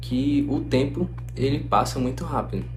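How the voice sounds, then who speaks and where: A man is speaking in a room with audible echo. Noticeable background noise runs under his voice. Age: 20s. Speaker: medical student and YouTuber. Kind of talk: casual reflective talk to camera. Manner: conversational.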